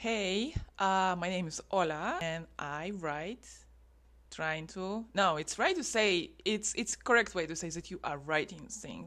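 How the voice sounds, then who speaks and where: A woman with a non-native accent speaks at a fairly slow pace, using ordinary pitch variation. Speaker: writer vlogger. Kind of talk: vlog talking to camera. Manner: halting.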